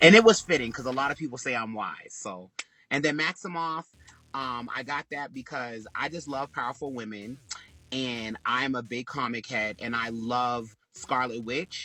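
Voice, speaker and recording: Bright and sharp in tone, a man of medium pitch speaks with an American accent at a moderate pace and with ordinary pitch variation. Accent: Boston accent, stronger when angry. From Boston, Massachusetts. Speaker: fitness coach and live-stream broadcaster. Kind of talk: talk show interview. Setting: live stream.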